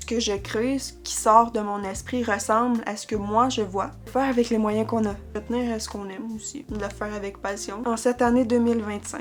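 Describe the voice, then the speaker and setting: A woman's fairly high voice in a monotone, flat intonation at a moderate pace with hardly any pauses, music in the background. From Quebec. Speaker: vlogger. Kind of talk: casual chat. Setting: at home, on a couch in her bedroom.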